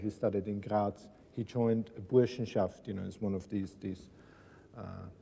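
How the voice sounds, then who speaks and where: This man has a fairly low, dark and mellow voice with an Austrian accent. He talks at a moderate pace in a flat monotone. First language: German. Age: 70s. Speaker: writer and son of a Nazi officer, school talk. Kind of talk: talk to school students. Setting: school classroom.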